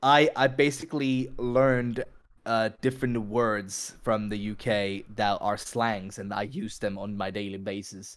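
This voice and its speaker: Medium-pitched male voice, fairly slow and fairly even in intonation, on a very clean recording with a silent background. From Finland, mixed Finnish-Greek family. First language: Finnish. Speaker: music artist and streamer. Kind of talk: casual podcast chat.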